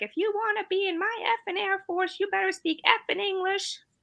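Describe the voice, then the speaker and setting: A woman shouts in a put-on character voice, pitched extremely high and moving at a fairly quick pace. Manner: yelling, harsh.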